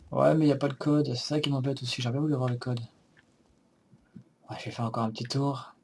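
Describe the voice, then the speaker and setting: The voice is somewhat breathy and runs at a very fast pace. Its intonation stays monotone and flat, broken by long, frequent pauses. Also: man, medium pitch for a man. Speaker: let's play gamer. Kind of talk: gameplay commentary.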